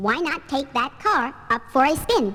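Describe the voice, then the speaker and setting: A woman uses a put-on character voice with a high pitch and very wide pitch swings. Light background noise can be heard. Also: moderate pace. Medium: audio drama. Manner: laid-back, genial.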